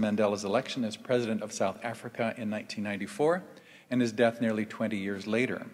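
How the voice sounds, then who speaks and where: The pace is fairly quick. A man delivers it with fairly even intonation. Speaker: event host introducing speakers. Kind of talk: formal introduction speech. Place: stage. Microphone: podium.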